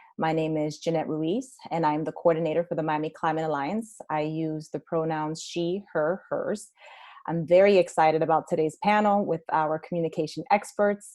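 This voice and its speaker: This woman speaks in a very deep, low pitch with a dark, mellow tone and fairly even intonation against a quiet background. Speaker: webinar moderator. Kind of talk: webinar moderation. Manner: fast.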